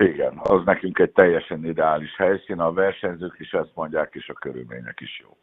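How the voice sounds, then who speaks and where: The speech runs at a fairly quick pace with hardly any pauses and big swings in loudness. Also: man. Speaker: national swim team coach. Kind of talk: interview.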